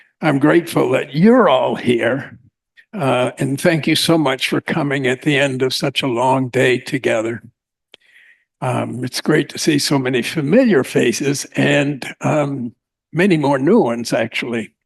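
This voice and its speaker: A man with a fairly high pitch and vocal fry speaks at a fairly slow pace with ordinary pitch variation and long, frequent pauses. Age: 80s+. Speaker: keynote speaker, existential therapist. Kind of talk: conference keynote speech; reading a prepared paper. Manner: halting, many filler words.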